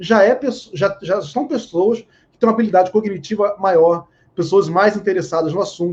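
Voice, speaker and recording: A man talks at a fairly quick pace. His voice sits at a high pitch. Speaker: psychoanalyst and therapist. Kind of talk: live online panel discussion. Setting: live stream video call.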